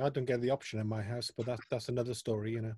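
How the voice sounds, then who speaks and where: A man speaks at a very fast pace in a medium pitch, his intonation flat and monotone. The tone is dark and mellow, somewhat breathy, with a dry, close sound and no echo. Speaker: music interviewer. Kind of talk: interview.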